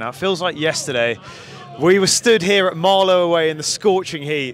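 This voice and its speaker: The sound is dry, with no echo, and has light background noise. A man is speaking. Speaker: club video presenter and interviewer. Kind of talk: welcome intro then sports interview. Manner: upbeat, conversational. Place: stadium. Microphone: handheld.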